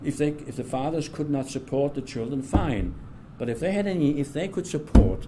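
There's a man speaking with a German accent at a moderate pace and a fairly high pitch. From southern Germany, then England. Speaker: retired political science professor. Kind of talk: oral history interview. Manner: halting, with frequent fillers and repetitions.

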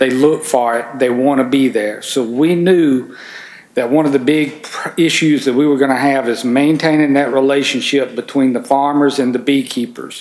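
A man talks with a Mississippi accent at a moderate pace. His intonation stays fairly even. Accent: Southern US (Mississippi). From Mississippi, US South. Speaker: farm organization environmental coordinator; conference presenter. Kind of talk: conference presentation. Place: meeting room. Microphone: camera far.

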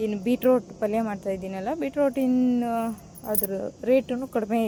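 The woman's voice has a dark, mellow tone. Her pitch sits fairly high. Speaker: home vlogger. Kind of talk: cooking vlog narration. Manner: casual, halting.

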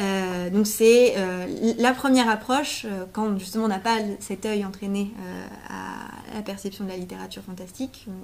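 At a moderate pace with few pauses, a woman speaks at medium pitch with vocal fry, a slightly mellow tone and fairly even intonation.

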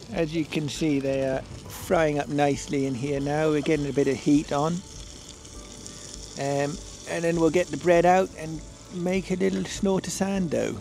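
A man at a moderate pace with long, frequent pauses and ordinary pitch variation, dry sound with no echo, and music in the background. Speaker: cooking vlogger. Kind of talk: comedic tutorial vlog chat. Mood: playful deadpan humour. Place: open country.

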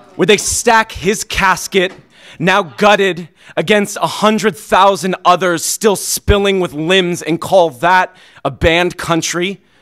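With music in the background, a man speaks at a very slow pace in an intense tone at a high pitch. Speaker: slam poet. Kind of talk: slam poem performance. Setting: stage with audience. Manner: intense, impassioned, rhythmic delivery. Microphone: studio mic.

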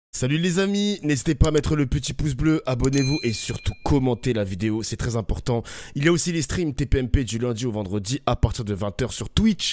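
A man talks at a moderate pace with lively intonation. The sound is dry, with no echo. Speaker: streamer. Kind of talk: casual chat. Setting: live stream. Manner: informal, excitable. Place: home room. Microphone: studio mic.

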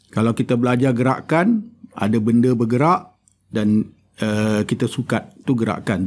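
In an ordinary speaking voice, a man talks at a fairly slow pace and medium pitch on a very clean recording with a silent background. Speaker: mathematics and philosophy of science academic. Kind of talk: educational interview.

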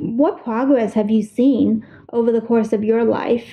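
Noticeable background noise sits under this woman's voice. Her pitch is fairly high, with ordinary variation. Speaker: podcast host. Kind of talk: casual interview.

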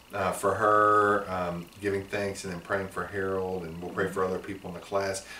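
A man's fairly low, monotone voice with flat intonation, at a moderate pace with hardly any pauses, plus light background noise and audible room echo. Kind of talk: prayer. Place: office. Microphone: camera far.

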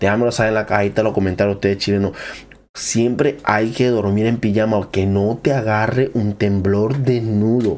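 At a moderate pace, a man speaks in an animated tone with a fairly low pitch. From Venezuela. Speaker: YouTuber. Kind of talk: reaction video commentary. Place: home room. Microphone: studio mic.

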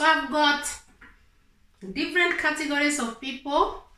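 Audible room echo surrounds this voice as it moves at a fairly slow pace. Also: woman. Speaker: advice vlogger. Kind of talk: explanatory vlog talk. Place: home room.

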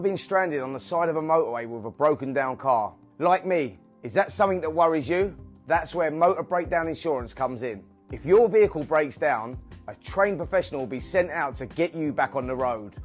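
A man at a fairly quick pace with lively intonation, faint music in the background. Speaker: boxing pundit. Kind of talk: TV commercial read. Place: studio. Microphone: lapel.

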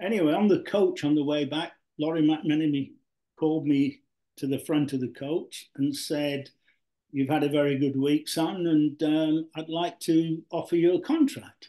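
The voice has a dark, mellow tone and a Yorkshire accent. Intonation stays fairly even over a quiet background. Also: man, fairly high pitch for a man, moderate pace. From South Yorkshire (Mexborough); South Yorkshire. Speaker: retired professional footballer; guest. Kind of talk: interview. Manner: hesitant, repetitive. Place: home room. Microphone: video call.

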